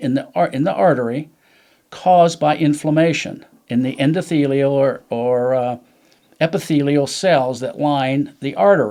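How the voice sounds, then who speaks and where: A man speaks at a fairly slow pace with a dark, mellow tone. His pitch sits fairly high. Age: 70s. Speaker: supplement user sharing cancer survival story. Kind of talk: podcast interview storytelling. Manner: halting, repeats words.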